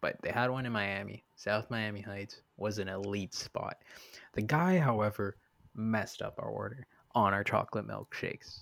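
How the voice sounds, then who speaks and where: Over a very clean recording with a silent background, a man speaks at a moderate pace in an unremarkable speaking voice, fairly low with ordinary pitch variation. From Canada. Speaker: podcast host. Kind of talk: casual chat.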